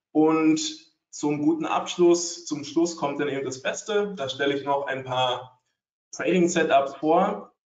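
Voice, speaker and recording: There is audible room echo around a man's voice. He talks fairly slowly. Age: 30s. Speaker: trading educator. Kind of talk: webinar presentation. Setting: online webinar with screen sharing.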